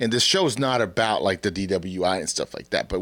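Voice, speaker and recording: The recording is very clean, with a silent background. An unremarkable speaking voice talks at a fairly quick pace. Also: man. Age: 40s. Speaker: podcast host and church youth leader. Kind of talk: casual chat.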